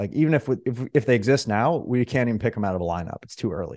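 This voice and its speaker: Quiet surroundings and a man speaking in a dark, mellow tone. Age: 30s. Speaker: entrepreneur and wealth manager. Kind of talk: interview conversation. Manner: energetic.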